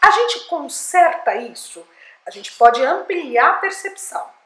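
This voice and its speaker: The speaker uses a raised, projected voice and keeps a fairly slow pace. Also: woman. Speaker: speech therapist and communication coach. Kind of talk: educational talk to camera.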